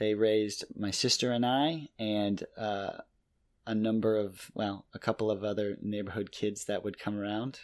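This man has a plain, everyday voice, pitched fairly low, with fairly even intonation. He keeps a moderate pace on a very clean recording with a silent background. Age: 30s. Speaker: podcast co-host. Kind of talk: casual chat.

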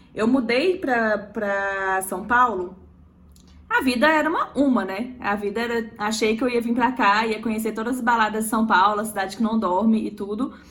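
A woman with a fairly high pitch and ordinary pitch variation speaks in a space with audible room echo. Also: moderate pace. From Minas Gerais, Belo Horizonte. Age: 20s. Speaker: emergency medicine resident. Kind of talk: casual chat.

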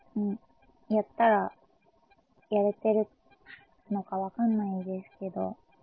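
A woman's medium-pitched voice, fairly slow and flat in a monotone, broken by long, frequent pauses. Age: 20s. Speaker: idol singer. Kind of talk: casual monologue. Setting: at home. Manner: halting.

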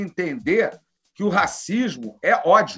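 A man with a high pitch uses a raised, projected voice and ordinary pitch variation while music plays in the background. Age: 50s. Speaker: criminal lawyer and cannabis activist. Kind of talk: casual interview.

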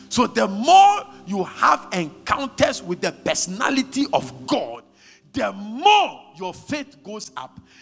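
Big swings in loudness and noticeable background noise come with a man talking at a very slow pace. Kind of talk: fervent charismatic prayer led over a congregation, with tongues and decrees. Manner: urgent, rhythmic and insistent, exhorting the crowd to pray aloud.

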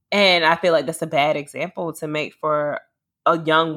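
A woman speaks at a moderate pace in an unremarkable speaking voice. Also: very clean recording, silent background. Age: 30s. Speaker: podcast host. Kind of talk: casual chat.

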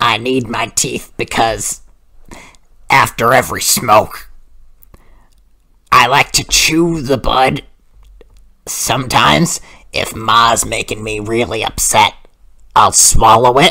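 A put-on character voice comes through low-pitched and raspy at a fairly slow pace. Long, frequent pauses break up the speech. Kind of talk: comic overacting prank call. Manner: sweet, calls everyone honey.

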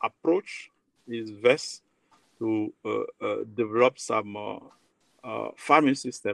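The recording has a dry, close sound with no echo. The speaker is a man. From Côte d'Ivoire. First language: French. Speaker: agronomist researcher. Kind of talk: interview.

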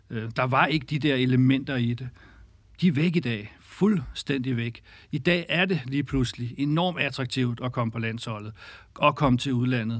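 A man speaks at a fairly slow pace in an ordinary speaking voice with a medium pitch and ordinary pitch variation. The recording is very clean, with a silent background. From Denmark, North Zealand (Birkerød). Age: 40s. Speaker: women's football league director. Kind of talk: interview.

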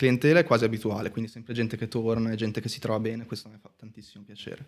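Here a man speaks at a very fast pace and a medium pitch. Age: 20s. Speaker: tattoo artist. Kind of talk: casual chat.

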